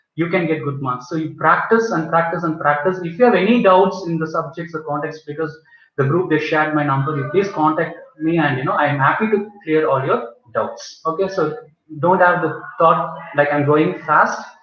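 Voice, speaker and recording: There is audible room echo around a man who speaks at a fairly high pitch. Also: ordinary pitch variation. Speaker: biology teacher. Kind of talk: online class lecture. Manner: fast.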